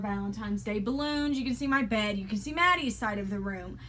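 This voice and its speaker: Lively intonation marks a woman's speech, heard with audible room echo. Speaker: vlogger. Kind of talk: casual chat. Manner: soft-spoken.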